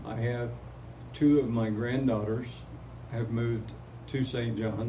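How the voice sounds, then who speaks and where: A man with an American accent, medium pitch and monotone, flat intonation, plus audible room echo and noticeable background noise. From Oklahoma. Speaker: retired teacher and community photographer. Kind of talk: interview.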